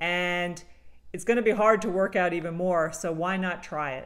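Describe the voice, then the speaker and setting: A woman talks at a fairly quick pace in an unremarkable speaking voice. Her pitch is fairly low. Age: 50s. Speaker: travel vlogger reviewing products. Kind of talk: product review monologue.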